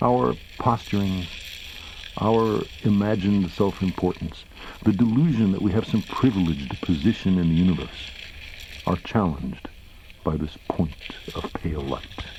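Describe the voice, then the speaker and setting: A man with an American accent, very deep and low in pitch, lively in intonation, at a moderate pace with long, frequent pauses, over noticeable background noise. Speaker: astronomer and science writer. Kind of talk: recorded reading of his own essay.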